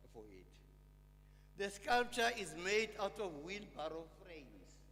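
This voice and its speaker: A man speaking at a very slow pace amid audible room echo. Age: 80s+. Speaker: sculptor and poet. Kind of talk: memorial lecture speech. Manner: halting, many fillers.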